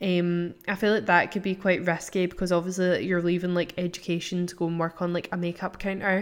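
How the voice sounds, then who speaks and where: A woman with a Scottish accent speaks at a fairly quick pace and fairly low pitch, in monotone, flat intonation with hardly any pauses, on a very clean recording with a silent background. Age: 20s. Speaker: podcast host. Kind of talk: casual chat. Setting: at home.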